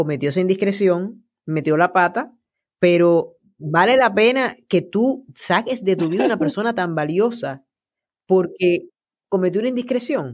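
With an ordinary speaking voice, a woman at medium pitch talks at a fairly slow pace with lively intonation. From Puerto Rico. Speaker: podcast host. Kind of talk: interview conversation.

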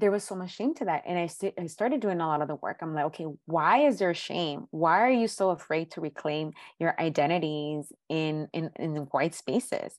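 A normal speaking voice with ordinary pitch variation runs with hardly any pauses against a quiet background. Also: woman, fairly low pitch for a woman, moderate pace. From South Central Los Angeles. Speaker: therapist. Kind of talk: interview.

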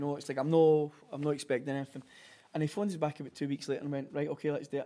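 With a Glaswegian accent, a man talks very fast in a dark, mellow tone and a fairly high pitch. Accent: Glaswegian Scottish. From Glasgow, Scotland. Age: 40s. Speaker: clothing brand founder. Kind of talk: casual interview chat. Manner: animated.

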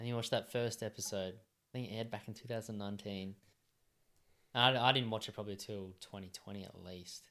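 With an Australian accent, a man speaks at a very fast pace in a fairly low pitch, his intonation fairly even and his loudness swinging widely. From rural New South Wales, Australia. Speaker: podcast co-host. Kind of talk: casual chat. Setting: home studio.

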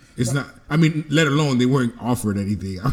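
Noticeable background noise is audible. A man speaks very fast over it. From Dominican heritage. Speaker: podcast co-host. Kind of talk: casual chat.

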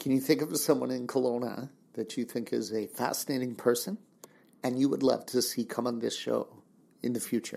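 A man speaks at a fairly quick pace in a dark, mellow tone with vocal fry. His intonation stays fairly even. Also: medium pitch for a man. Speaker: podcast host. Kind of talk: interview.

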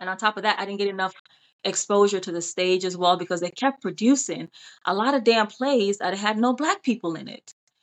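Here a woman speaks with an American accent at a medium pitch and a fairly quick pace. It is a normal speaking voice with ordinary pitch variation and big swings in loudness. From Jamaica, then Pennsylvania from age 10. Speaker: actress and TV host. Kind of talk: casual chat.

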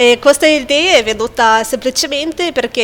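Through noticeable background noise, the pitch varies in an ordinary way. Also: woman. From Lithuania. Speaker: English teacher and pianist. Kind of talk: interview chat.

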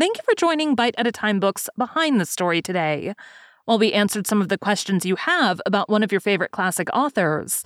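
Her pitch swinging very widely, a woman talks at a very fast pace with very even loudness, her sound dry and close with no echo. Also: medium pitch for a woman. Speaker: podcast host. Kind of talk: literary essay reading. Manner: measured, formal; steady, even-paced.

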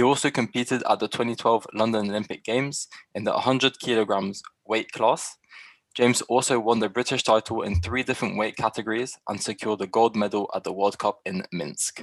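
Here a man uses an ordinary speaking voice at medium pitch, talking at a fairly quick pace with fairly even intonation, in a dry, close sound with no echo. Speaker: podcast co-host. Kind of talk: casual interview chat.

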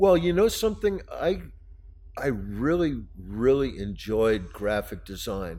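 Audible room echo surrounds a man who speaks at a very slow pace with very wide pitch swings. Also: medium pitch for a man. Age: 60s. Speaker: artist. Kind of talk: casual chat. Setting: studio.

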